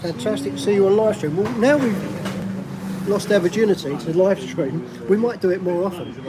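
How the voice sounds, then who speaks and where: With a South East London accent, a man talks at a high pitch and a moderate pace, using ordinary pitch variation over noticeable background noise. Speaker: vlogger living abroad. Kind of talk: live stream chat. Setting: restaurant.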